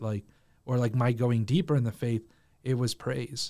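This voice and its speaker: A man at medium pitch and a fairly quick pace, on a very clean recording with a silent background. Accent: Spanish. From Mexico. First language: Spanish. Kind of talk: casual chat.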